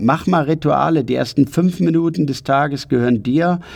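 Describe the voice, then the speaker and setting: A man speaks at a moderate pace. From Ruhr area, Germany. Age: 50s. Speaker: personal development coach. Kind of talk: motivational podcast monologue. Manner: energetic.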